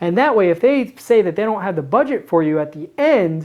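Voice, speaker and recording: Her pitch swings very widely as the woman talks at a very fast pace in an animated tone. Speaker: marketing coach. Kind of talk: tutorial.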